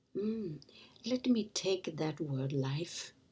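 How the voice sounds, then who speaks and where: Pitch swings very widely as a woman talks in a somewhat breathy voice. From Germany. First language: German. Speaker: author and motivational speaker. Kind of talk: inspirational talk.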